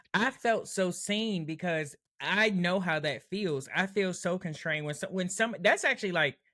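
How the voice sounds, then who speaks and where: A woman speaks loudly at a moderate pace, her pitch medium. Her tone is bright and sharp, with ordinary pitch variation. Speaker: podcast co-host. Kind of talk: casual chat.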